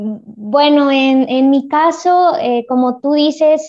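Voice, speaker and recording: A woman's high-pitched voice at a very slow pace, with ordinary pitch variation. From Puebla, Mexico. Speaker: primary school teacher and wheelchair basketball player. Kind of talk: interview.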